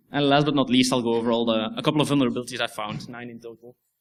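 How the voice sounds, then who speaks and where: A man's medium-pitched voice at a very fast pace, with vocal fry and fairly even intonation. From Belgium. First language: Dutch. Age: 20s. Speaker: security researcher. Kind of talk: conference talk. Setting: stage with audience. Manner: hesitant, many fillers.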